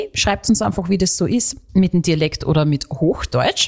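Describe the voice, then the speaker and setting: A woman speaks with an Austrian accent and lively intonation. The recording is very clean, with a silent background. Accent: Austrian dialect, stronger than co-host's. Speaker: radio host and podcast co-host. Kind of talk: casual chat.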